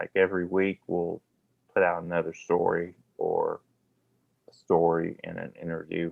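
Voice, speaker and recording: In a Kentucky accent, a man with a very deep, low pitch speaks at a fairly slow pace. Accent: Southeast Kentucky. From US South, southeast Kentucky. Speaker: magazine editor and publisher. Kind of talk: podcast interview.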